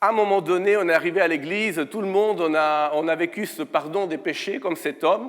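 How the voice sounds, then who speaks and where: A man speaks at a moderate pace with an Italian accent, recorded very cleanly against a silent background. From Italy. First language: Italian (speaking French). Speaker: guest preacher. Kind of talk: sermon. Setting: church. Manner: hesitant, many fillers.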